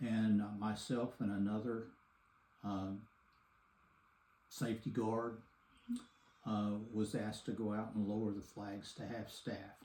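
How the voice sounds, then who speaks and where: A man with a Texan accent, dark, mellow tone and fairly low pitch, monotone, flat intonation, long, frequent pauses, and audible room echo. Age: 70s. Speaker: grandfather interviewed for a school assignment. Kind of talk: interview.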